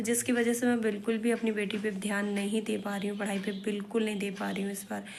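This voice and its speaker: Audible room echo surrounds a woman's medium-pitched voice as she speaks at a moderate pace in a monotone, flat intonation. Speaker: vlogger. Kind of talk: casual vlog talk. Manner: halting.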